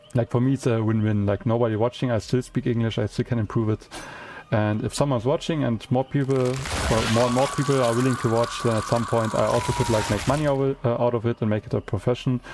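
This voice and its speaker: Talking at a very fast pace, a man with a medium pitch and fairly even intonation is heard over noticeable background noise. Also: very even loudness. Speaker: gaming streamer. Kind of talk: casual live-stream chat. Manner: hesitant, many fillers and repetitions.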